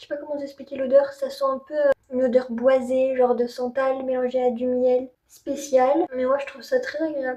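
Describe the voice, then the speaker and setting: A high-pitched woman talks in a monotone, flat intonation with hardly any pauses. Her loudness swings a lot. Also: moderate pace. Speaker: beauty youtuber. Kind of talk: product review tutorial. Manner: casual, with filler hesitations.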